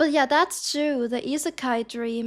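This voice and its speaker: A woman's high voice at a moderate pace, in a very clean recording with a silent background. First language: German. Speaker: streamer. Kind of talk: live stream reaction commentary. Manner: halting.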